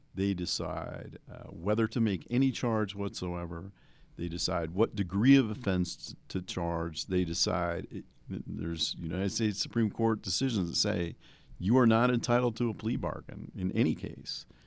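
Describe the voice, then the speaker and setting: Recorded very cleanly against a silent background, a man speaks in an unremarkable speaking voice with an American accent. His fairly low pitch has ordinary pitch variation at a moderate pace. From New Jersey. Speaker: criminal defense attorney. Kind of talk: casual chat.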